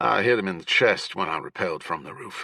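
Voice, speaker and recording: A man speaks in a put-on character voice, growling at a very fast pace, with a dry, close sound and no echo. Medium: read story. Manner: curt, forceful.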